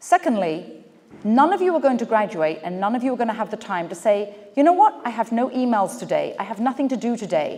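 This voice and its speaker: Over noticeable background noise, a woman with an English accent speaks fairly quickly at a fairly high pitch with lively intonation. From England. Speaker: business speaker. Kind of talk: keynote speech. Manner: animated.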